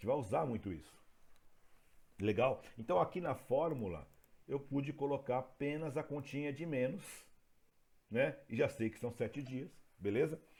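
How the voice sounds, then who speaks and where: A man's vocal fry, with long, frequent pauses and lively intonation. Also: medium pitch for a man, moderate pace. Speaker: teacher. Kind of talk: lecture.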